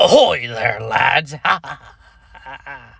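A put-on character voice sounds raspy and moves at a very slow pace. The recording is very clean, with a silent background. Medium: role play.

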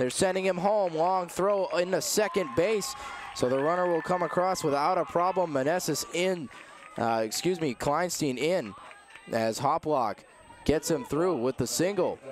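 There is noticeable background noise behind a man with a high pitch. He speaks at a moderate pace with lively intonation. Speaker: baseball play-by-play announcer. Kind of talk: live sports commentary, play-by-play call of a baseball game.

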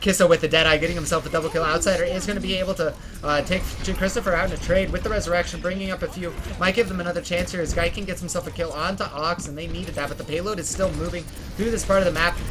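The speech comes at a very fast pace, with music playing in the background. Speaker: esports caster. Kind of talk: live esports commentary. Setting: online stream broadcast. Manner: animated, play-by-play pace with urgent emphasis on key fights; fluent but sprinkled with fillers like 'um' and 'uh'.

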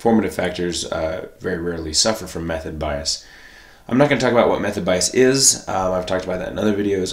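A man's very deep, low voice with ordinary pitch variation over noticeable background noise. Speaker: statistics instructor. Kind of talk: tutorial. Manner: casual with filler words.

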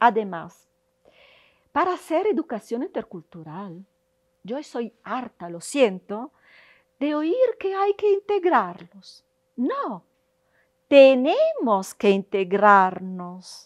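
A high-pitched woman with an Italian accent, very slow and with long, frequent pauses, very wide pitch swings, and big swings in loudness, over a quiet background. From Italy. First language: Italian (speaking Spanish). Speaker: university professor. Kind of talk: interview monologue. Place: hall. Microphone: lapel.

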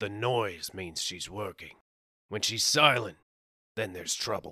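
A man's put-on character voice, raspy and fairly low in pitch, with ordinary pitch variation at a fairly slow pace on a very clean recording with a silent background. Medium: read story. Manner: warm, easygoing.

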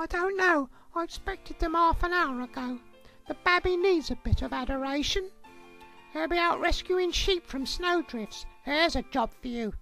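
A female-sounding, cartoonish character voice at an extremely high pitch moves at a moderate pace. Faint music plays in the background. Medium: puppet show. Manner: patient, wry, practical.

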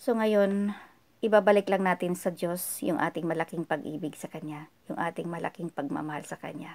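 A woman talks at a fairly quick pace with fairly low pitch and ordinary pitch variation. Her loudness swings widely. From Philippines. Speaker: vlogger leading prayer. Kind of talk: devotional talk leading into prayer. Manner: earnest, humble. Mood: calm, earnest, devotional. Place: home room. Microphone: phone near.

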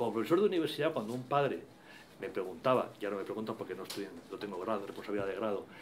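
A man talks at a very fast pace with lively intonation. Light background noise can be heard. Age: old. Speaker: university professor; panelist, university professor. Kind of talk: formal speech. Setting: event hall with audience. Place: meeting room.

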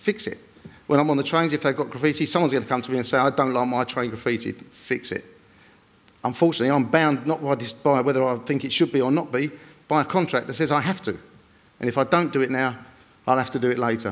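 Pitch rises and falls normally. The delivery is very fast. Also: man. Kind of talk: panel presentation. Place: stage. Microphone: podium.

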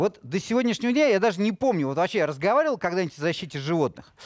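The sound is dry with no echo as a man with high pitch speaks in very wide pitch swings. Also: quiet background. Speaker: TV talk show host. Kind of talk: TV studio discussion. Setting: TV studio. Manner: ironic. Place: studio. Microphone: headset.

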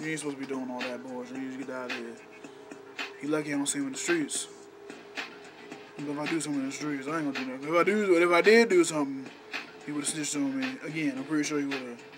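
The man's speech is very fast. Music plays faintly behind him. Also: ordinary pitch variation. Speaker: vlogger. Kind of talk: casual vlog rant. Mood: annoyed, joking rant. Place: home room. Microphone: webcam.

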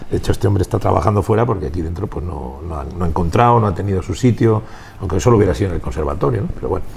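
With a very deep, low pitch and lively intonation, a man speaks at a very fast pace over light background noise. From Spain, Valladolid; Spain. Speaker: rock musician. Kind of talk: interview. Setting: music venue. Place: bar. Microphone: lapel.

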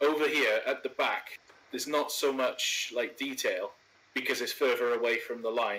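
Man with a Welsh accent at a moderate pace, amid noticeable background noise. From Wales. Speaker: video host, train simulator gameplay. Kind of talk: casual chat with gameplay commentary. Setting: online voice call while recording gameplay.

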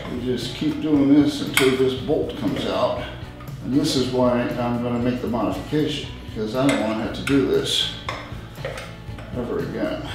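A man speaks at a moderate pace with long, frequent pauses, in a room with strong echo and clear music in the background. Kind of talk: tutorial. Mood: mildly frustrated. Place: garage. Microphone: camera far.

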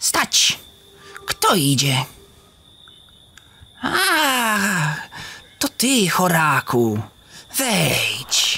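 Speaking very slowly with long, frequent pauses, a man uses a high pitch and very wide pitch swings. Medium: audio drama. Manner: mysterious, calm.

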